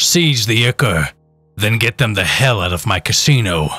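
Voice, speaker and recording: A man's put-on character voice, growling and robotic, at medium pitch with lively intonation and a moderate pace, over music in the background. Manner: commanding.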